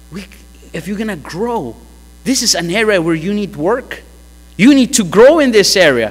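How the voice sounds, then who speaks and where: A man speaks with very wide swings in pitch. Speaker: pastor. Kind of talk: sermon. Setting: church. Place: church. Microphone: podium.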